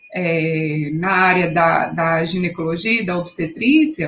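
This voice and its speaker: A woman's voice over noticeable background noise. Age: 30s. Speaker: oncology physiotherapist and cancer survivor. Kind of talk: interview, personal testimony.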